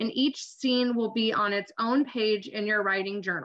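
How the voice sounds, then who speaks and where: Pitched fairly high, a woman speaks at a fairly slow pace with ordinary pitch variation. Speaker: teacher. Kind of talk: tutorial. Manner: direct; animated.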